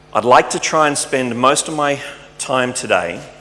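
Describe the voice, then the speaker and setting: Medium pitch and moderate pace from a man with an Australian accent, amid noticeable background noise. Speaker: tech company speaker. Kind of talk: conference talk.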